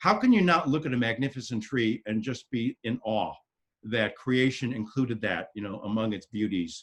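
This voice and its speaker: This man talks at a fairly quick pace with a medium pitch. His pitch varies in an ordinary way. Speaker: therapist. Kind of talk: talk to a town hall meeting. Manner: fast.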